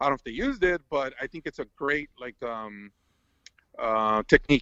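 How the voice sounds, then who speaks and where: A man speaks in a bright, sharp tone at a fairly high pitch with ordinary variation. His loudness swings widely. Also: dry, close sound with no echo. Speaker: video game world record holder. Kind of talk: casual chat. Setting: podcast live stream. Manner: fast; halting, many fillers and restarts.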